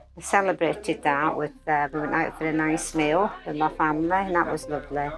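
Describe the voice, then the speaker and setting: Noticeable background noise surrounds a woman with a very deep, low pitch. She moves at a fairly quick pace with fairly even intonation. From Scotland, Glasgow. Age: 70s. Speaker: recovering alcoholic sharing her story. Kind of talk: personal testimony. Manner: hesitant, with many fillers.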